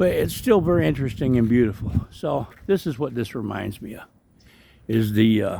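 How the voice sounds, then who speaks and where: Lively intonation and big swings in loudness mark this man's dark, mellow tone as he talks at a moderate pace. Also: medium pitch for a man. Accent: American. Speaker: travel vlogger. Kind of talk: casual walkthrough narration. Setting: outdoors in a park.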